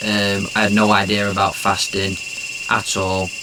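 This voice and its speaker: A man's fairly low-pitched voice at a moderate pace, flat and monotone, with noticeable background noise and audible room echo. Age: 30s. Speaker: fasting interviewee, former boxer. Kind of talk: interview testimony. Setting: wellness center.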